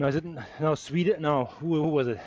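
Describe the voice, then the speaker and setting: A man with a German accent speaks at a fairly high pitch. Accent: German accent, mistaken for South African. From Germany. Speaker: cycling live streamer. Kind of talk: live race commentary. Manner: animated.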